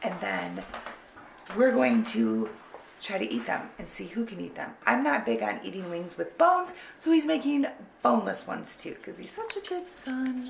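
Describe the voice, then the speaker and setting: Amid audible room echo and noticeable background noise, a woman speaks at a moderate pace with big swings in loudness. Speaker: family vlogger, mother. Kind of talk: casual vlog intro.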